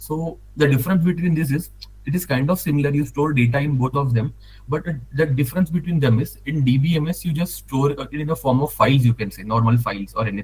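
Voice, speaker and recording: A man's very fast, somewhat breathy speech with an Indian accent, at a fairly high pitch with ordinary pitch variation. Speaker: data analyst. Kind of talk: tutorial. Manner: halting.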